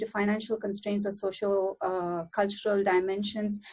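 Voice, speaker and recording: A woman's monotone voice with flat intonation at a fairly quick pace. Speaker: academic researcher on gender equality. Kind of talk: panel talk. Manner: fast; hesitant with many fillers.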